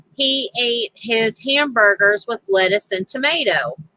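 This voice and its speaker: Someone in a Southern US accent speaks at a fairly slow pace with ordinary pitch variation. The sound is dry and close, with no echo. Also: woman. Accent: southern twang. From US South, Tennessee. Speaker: crafting livestreamer. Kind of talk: casual chat. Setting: livestream. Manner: halting.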